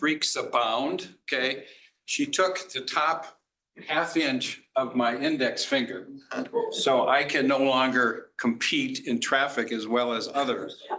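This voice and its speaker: A man at a very slow pace, with audible room echo. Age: 70s. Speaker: businessman and conference panelist. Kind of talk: conference talk. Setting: conference panel with audience.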